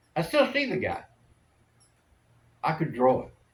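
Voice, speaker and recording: A man talks at a fairly quick pace with vocal fry. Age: 80s+. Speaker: military veteran. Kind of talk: casual chat.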